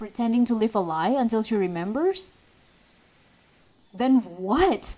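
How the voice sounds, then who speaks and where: With an Indonesian accent and a fairly high voice, a woman speaks at a moderate pace with very wide pitch swings and long, frequent pauses over noticeable background noise. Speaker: movie reviewer. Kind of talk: movie review commentary. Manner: ranting.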